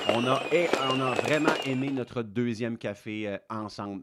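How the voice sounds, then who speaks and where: A man with a Quebec accent talks with ordinary pitch variation. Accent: Québécois. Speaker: fitness coach. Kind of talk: casual educational talk. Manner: hesitant, many fillers.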